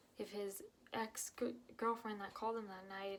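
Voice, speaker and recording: Soft-spoken, the voice keeps to a moderate pace. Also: woman. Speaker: vlogger. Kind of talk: personal testimony. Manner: halting.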